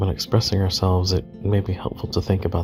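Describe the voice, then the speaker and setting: Music plays behind a soft-spoken man with a very deep, low pitch. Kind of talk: soft-spoken ASMR ramble while doodling. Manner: soft-spoken, rambling, reflective.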